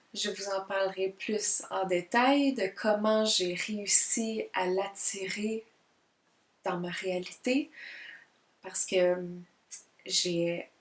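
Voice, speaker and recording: Speaking very slowly, a woman leaves long, frequent pauses. Her pitch sits in the medium range, with ordinary variation. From Quebec. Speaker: multidisciplinary artist and spiritual vlogger. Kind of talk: casual self-introduction vlog. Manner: hesitant, many fillers; careful, deliberate diction.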